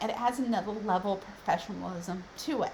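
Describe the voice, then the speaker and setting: A woman speaks over noticeable background noise. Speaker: business consultant. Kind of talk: tutorial.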